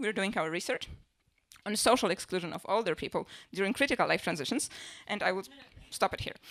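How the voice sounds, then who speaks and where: A woman speaks at a fairly quick pace. She has a Polish accent. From Poland. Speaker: stand-up comedian and social researcher. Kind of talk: stand-up. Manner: fast.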